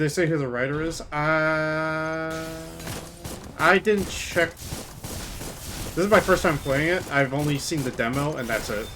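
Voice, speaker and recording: A man with a fairly high pitch and ordinary pitch variation talks at a very slow pace, with noticeable background noise and audible room echo. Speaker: video game streamer. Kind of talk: live gameplay commentary. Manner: loud; halting, many restarts.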